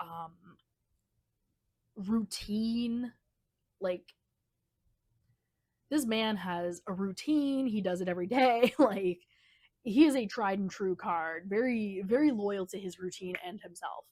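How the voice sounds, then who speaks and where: On a very clean recording with a silent background, a woman talks very slowly at a medium pitch, with ordinary pitch variation, big swings in loudness and long, frequent pauses. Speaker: tarot reader. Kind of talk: tarot reading monologue. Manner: shaky at times.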